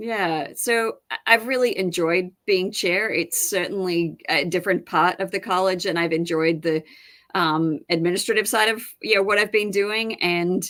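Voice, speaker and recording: Speaking at a moderate pace with an Australian accent, a woman keeps a medium pitch with ordinary pitch variation. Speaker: professor and department chair. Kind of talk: interview. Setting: live-streamed online broadcast.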